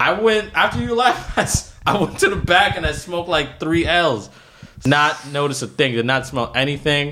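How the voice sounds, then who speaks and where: This man speaks at a moderate pace in a fairly high pitch with lively intonation, over noticeable background noise. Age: 20s. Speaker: friend of the host. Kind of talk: casual chat. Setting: studio.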